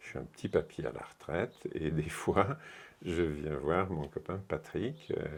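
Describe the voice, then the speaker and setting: Very deep, low male voice with ordinary pitch variation and big swings in loudness. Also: fairly slow pace. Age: 70s. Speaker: retired workshop speaker at an osteopathy meeting. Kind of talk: interview. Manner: animated.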